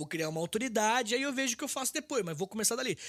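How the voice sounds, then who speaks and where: The tone is animated. The intonation is lively. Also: man. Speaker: history podcaster and teacher. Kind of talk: casual interview chat. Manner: fast.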